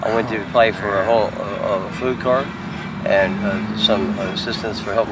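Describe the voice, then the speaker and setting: Noticeable background noise and audible room echo around a man's fairly quick speech. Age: 60s. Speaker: homeless man. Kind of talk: street interview. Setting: outdoors on the street. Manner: halting, many fillers and repeats.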